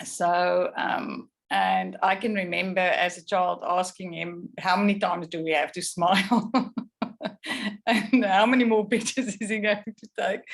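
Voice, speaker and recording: A woman with a South African accent speaks at a medium pitch and a fairly slow pace. Her intonation stays fairly even while her loudness swings widely. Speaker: photographer. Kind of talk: artist talk. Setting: video call.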